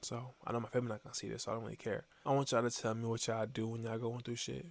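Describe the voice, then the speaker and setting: A man speaks quietly at a medium pitch. His intonation is monotone and flat. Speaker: motivational vlogger. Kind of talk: casual motivational monologue. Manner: fast. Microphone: new mic.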